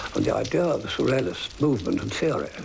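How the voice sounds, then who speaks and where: Against noticeable background noise, someone talks at a fairly quick pace. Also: man. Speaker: poet. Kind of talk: interview answer.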